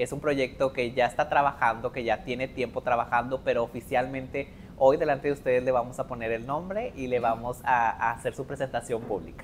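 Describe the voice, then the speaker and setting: Over light background noise, a man talks fairly quickly with hardly any pauses and fairly even intonation. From Mexico, Linares, Nuevo León; Nuevo León, Mexico. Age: 30s. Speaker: wedding planner; guest. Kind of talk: interview. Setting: live podcast before student audience. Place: classroom. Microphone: lapel.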